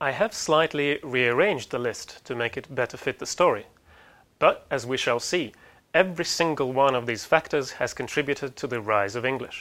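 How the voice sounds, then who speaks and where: Speaking at a moderate pace with a Russian accent, a man uses lively intonation and a bright, sharp tone at medium pitch, on a very clean recording with a silent background. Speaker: university lecturer. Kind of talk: lecture.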